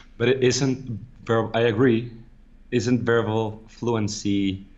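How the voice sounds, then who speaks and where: A man's medium-pitched voice with a non-native accent, monotone and flat, at a very slow pace with audible room echo. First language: not English. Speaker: podcast co-host. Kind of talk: casual chat. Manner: halting.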